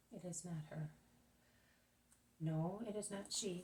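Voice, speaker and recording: Putting on a character voice, a soft-spoken woman mumbles at a fairly slow pace in a medium pitch with ordinary pitch variation. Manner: murmuring to himself, musing.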